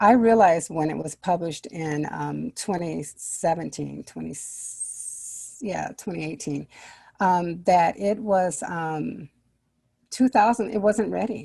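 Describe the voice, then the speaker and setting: Against a silent background on a very clean recording, a woman with a fairly low pitch and a dark, mellow tone speaks at a fairly slow pace, with ordinary pitch variation, big swings in loudness, and long, frequent pauses. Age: 60s. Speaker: children's book author. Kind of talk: interview.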